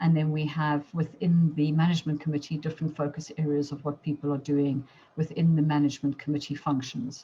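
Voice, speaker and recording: A woman's very deep, low-pitched voice, somewhat breathy with a dark, mellow tone, monotone, flat intonation, a fairly quick pace and hardly any pauses. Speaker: chamber of commerce chair. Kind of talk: business presentation. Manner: fast.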